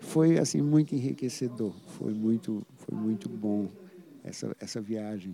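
Using an ordinary speaking voice, a man at medium pitch speaks at a fairly slow pace with lively intonation. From Paraíba, Brazil (interior). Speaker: saxophonist. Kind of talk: interview.

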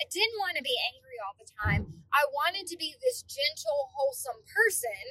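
High-pitched and raised, a woman projects an animated, bright, sharp tone. Her pitch swings very widely and her loudness rises and falls sharply. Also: moderate pace. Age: 30s. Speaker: podcast host. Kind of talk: casual monologue.

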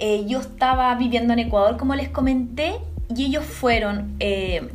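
A woman speaks at a moderate pace with a Chilean accent. Noticeable background noise and audible room echo fill the recording. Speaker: cellist and singer-songwriter. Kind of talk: interview.

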